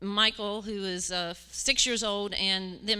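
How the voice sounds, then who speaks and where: A woman with a West Virginia accent speaks at a fairly slow pace in a medium pitch, her intonation fairly even and her tone bright and sharp. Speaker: church mission team member. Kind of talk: testimony. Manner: halting, many fillers.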